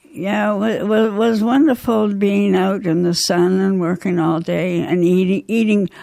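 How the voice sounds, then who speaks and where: With very even loudness and ordinary pitch variation, the voice carries a dark, mellow tone. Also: woman, medium pitch for a woman. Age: 80s+. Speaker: Second World War farmerette. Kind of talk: radio interview answer. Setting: studio.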